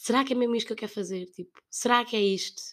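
In a European Portuguese accent, a woman talks very fast at a fairly high pitch with fairly even intonation. The recording is very clean against a silent background. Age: 20s. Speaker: podcast host. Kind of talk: solo monologue, casual. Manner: hesitant, with laughs.

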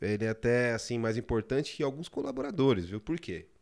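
A man's medium-pitched voice at a moderate pace, with ordinary pitch variation, on a very clean recording with a silent background. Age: 30s. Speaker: pizzeria chain founder, former bank worker. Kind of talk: casual interview. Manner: halting, with many repetitions.

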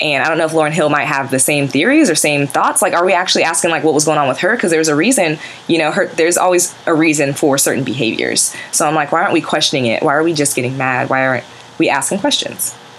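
Over noticeable background noise, the speech races at a very fast pace with ordinary pitch variation and very even loudness. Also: woman, very deep, low pitch for a woman. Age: 20s. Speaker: podcast host. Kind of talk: casual banter chat.

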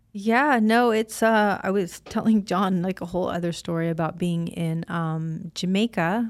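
In an American accent, a woman with an unremarkable speaking voice talks at a moderate pace in a medium pitch with ordinary pitch variation and hardly any pauses, on a very clean recording with a silent background. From US Midwest (Illinois). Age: 50s. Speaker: podcast host, former wrestler and actress. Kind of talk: casual chat.

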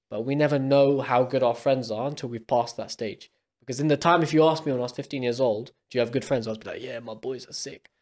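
Speaking very fast with a London accent, a man uses a medium pitch and an energetic tone, with hardly any pauses and big swings in loudness, in a very clean recording with a silent background. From UK. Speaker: podcast co-host. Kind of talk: casual chat.

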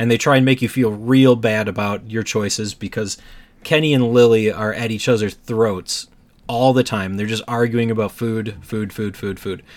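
This man has an unremarkable speaking voice at a medium pitch. He keeps a moderate pace. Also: fairly even intonation. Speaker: podcast host. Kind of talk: casual chat about video games. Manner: jokey, laughs often.

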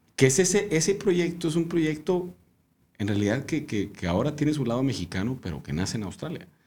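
A man with a fairly high pitch and vocal fry swings very widely in pitch. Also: fairly quick pace. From Mexico, Monterrey. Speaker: winemaker. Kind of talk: casual chat.

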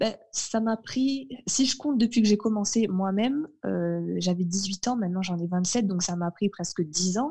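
Breathy to some degree and dark, mellow in tone, a woman speaks at a fairly slow pace with hardly any pauses and ordinary pitch variation. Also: medium pitch for a woman. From northern France. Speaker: translator and French tutor. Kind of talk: casual interview chat.

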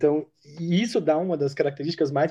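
A man's voice with a dark, mellow tone. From interior of São Paulo state, Brazil. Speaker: diplomatic service officer. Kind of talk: podcast interview.

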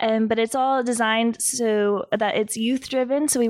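A woman talks at a moderate pace in an ordinary speaking voice with fairly even intonation, on a very clean recording with a silent background. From San Diego, California. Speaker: nonprofit founder. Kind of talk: podcast interview.

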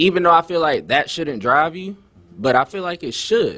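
In a very clean recording with a silent background, a man with an American accent talks at a fairly quick pace in a bright, sharp tone. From Florida (Tampa Bay). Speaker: rapper. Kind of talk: interview. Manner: casual.

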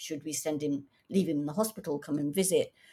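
A very deep, low, somewhat breathy woman's voice, dark and mellow in tone, in a very clean recording with a silent background. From England, Coventry (born in East Africa). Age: 60s. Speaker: author. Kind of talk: interview.

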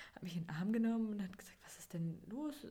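A woman talks at a moderate pace with ordinary pitch variation, her tone dark, mellow and somewhat breathy. Audible room echo surrounds her voice. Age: 20s. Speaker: podcast host, mother. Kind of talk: personal storytelling monologue.

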